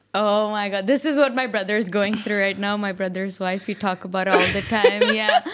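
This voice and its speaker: A woman talks with hardly any pauses. Noticeable background noise sits behind her. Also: medium pitch for a woman, fairly even intonation, fairly quick pace. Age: 20s. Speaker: podcast host. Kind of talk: casual interview.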